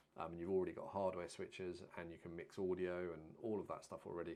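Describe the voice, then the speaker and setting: Quietly and at a very fast pace, a man talks in a very deep, low pitch. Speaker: videographer live streamer. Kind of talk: live stream product talk. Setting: live stream. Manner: talking quietly. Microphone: audio too low, quiet.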